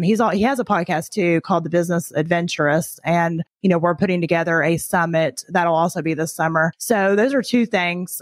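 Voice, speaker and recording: A woman with an ordinary speaking voice talks at a moderate pace, in a medium pitch with ordinary pitch variation. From Tennessee, US South. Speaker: podcaster and entrepreneur. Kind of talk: casual interview chat.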